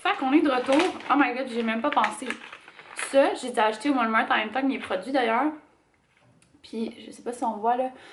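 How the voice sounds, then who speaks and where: A woman talks at a moderate pace in a high pitch with ordinary pitch variation. Her loudness swings widely, and she leaves long, frequent pauses. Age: 20s. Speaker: lifestyle vlogger. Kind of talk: casual talk to camera.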